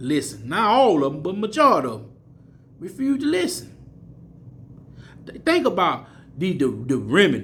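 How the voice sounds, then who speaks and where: Audible room echo surrounds a man speaking with an American accent. He keeps a moderate pace and lively intonation. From US South, Mississippi. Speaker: street preacher / bible teacher. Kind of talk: sermon. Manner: repetitive, stammering restarts.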